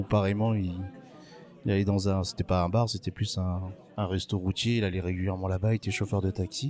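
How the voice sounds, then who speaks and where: Music plays behind a man speaking at a fairly quick pace in a fairly low pitch, with very even loudness. His intonation is fairly even, and he takes long, frequent pauses. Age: 40s. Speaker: bartender. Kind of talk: interview. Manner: hesitant, many fillers.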